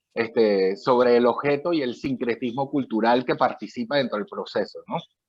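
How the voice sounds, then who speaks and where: A man's medium-pitched, ordinary speaking voice moves at a moderate pace with ordinary pitch variation. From Latin America. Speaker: author. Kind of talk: interview.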